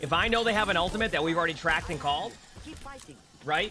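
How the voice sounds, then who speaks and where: Over noticeable background noise, a high-pitched man with a Boston accent raises and projects his voice, his intonation lively. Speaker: game streamer. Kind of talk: live stream chat, answering viewer question. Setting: live stream. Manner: casual, many fillers and repetitions.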